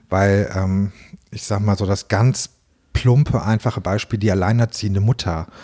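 The voice has a dark, mellow tone at a moderate pace, sounding dry and close with no echo in a very clean recording with a silent background. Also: man, fairly low pitch for a man. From Hannover, northern Germany. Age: 40s. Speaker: bakery owner. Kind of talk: interview. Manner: hesitant with many fillers.

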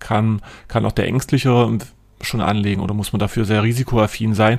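A man speaks in a plain, everyday voice. His pitch is fairly low and his pace moderate. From southern Saxony-Anhalt, near Eisleben. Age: 20s. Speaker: financial adviser and podcast host. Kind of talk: casual chat.

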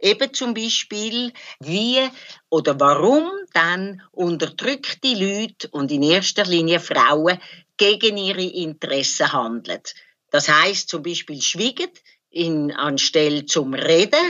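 Speaking at a very slow pace, a woman uses a medium pitch with very wide pitch swings. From Switzerland, Zurich area. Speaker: psychoanalyst and activist. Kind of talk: interview, personal recollection.

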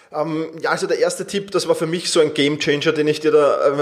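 A man at a moderate pace. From Austria, Vienna. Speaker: self-management coach. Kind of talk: interview.

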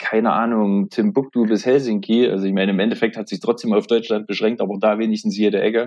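The man talks at a fairly quick pace in a fairly low pitch. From southeast Thuringia, Germany. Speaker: metal musician and festival organizer. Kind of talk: casual chat.

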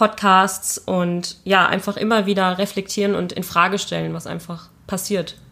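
Flat, monotone speech from a woman, medium in pitch and moderate in pace. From Germany, Wiesbaden (Hesse). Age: 20s. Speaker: film student and photographer. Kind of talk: interview.

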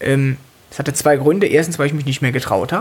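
This woman's pitch is very deep and low. She talks very fast. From Cologne, Germany. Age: 20s. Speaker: stand-up comedian. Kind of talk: casual chat. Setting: at home.

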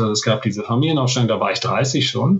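A man speaks at a medium pitch. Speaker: business coach. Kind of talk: interview. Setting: remote call from hotel. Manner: hesitant, many fillers. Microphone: poor connection.

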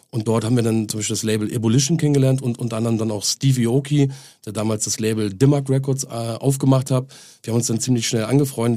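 This man talks very fast at a medium pitch. His tone is dark and mellow, and his intonation is fairly even. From northern Germany. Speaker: music label owner. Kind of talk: casual chat.

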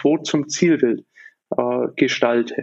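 A man's unremarkable speaking voice, fairly slow in pace, with ordinary pitch variation. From Germany, Nuremberg. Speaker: business founder and consultant. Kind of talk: podcast interview.

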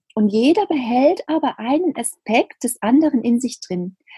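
Dry and close with no echo, a woman's high-pitched voice has a dark, mellow tone and very wide pitch swings. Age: 30s. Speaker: spiritual medium and coach. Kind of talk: interview about spirituality.

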